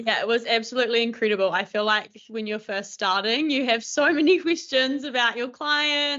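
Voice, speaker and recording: Speaking at a moderate pace with ordinary pitch variation, a woman with a fairly high pitch has a strong New Zealand accent. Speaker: speech pathologist, new graduate. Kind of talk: online panel Q&A.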